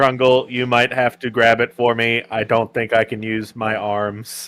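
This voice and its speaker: A man puts on a character voice at a medium pitch. His intonation stays monotone and flat. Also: moderate pace. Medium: actual play. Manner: polite, mild.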